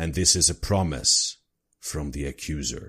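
A man's put-on character voice, very deep and low in pitch. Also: very clean recording, silent background. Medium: actual play. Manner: pompous, menacing proclamation.

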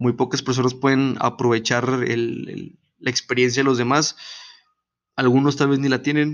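Speaking at a fairly slow pace with a Mexican accent, a man uses a medium pitch and monotone, flat intonation. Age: 20s. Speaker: podcast host. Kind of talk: casual monologue.

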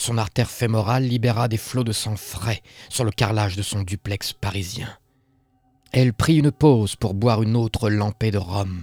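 With a somewhat breathy voice and fairly even intonation, a man talks at a moderate pace. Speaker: horror story narrator. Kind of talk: horror story narration read aloud.

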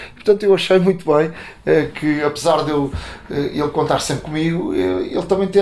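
A man keeps his intonation fairly even while noticeable background noise carries on around him. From Portugal, Montijo. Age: 50s. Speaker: sports journalist. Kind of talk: interview. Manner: halting, many fillers and repetitions.

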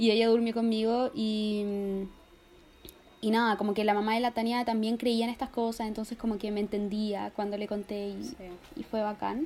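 A woman in a Chilean accent, fairly high-pitched, with monotone, flat intonation at a moderate pace. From Chile, Talca. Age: 20s. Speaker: journalism student. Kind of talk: casual chat.

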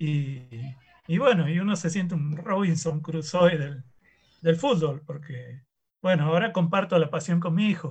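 Fairly slow, high-pitched male speech with ordinary pitch variation. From Rosario, Argentina. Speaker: university professor. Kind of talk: casual chat.

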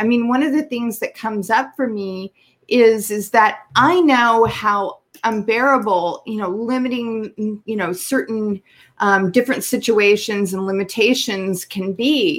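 A woman's fairly high voice moves at a fairly slow pace, its pitch shifting in an ordinary way. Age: 50s. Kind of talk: casual interview. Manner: animated.

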